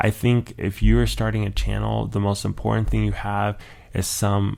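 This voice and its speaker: A man with a plain, everyday voice talks at a fairly slow pace, with fairly low pitch and fairly even intonation. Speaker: YouTuber. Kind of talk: casual vlog talk. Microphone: new dedicated microphone, close.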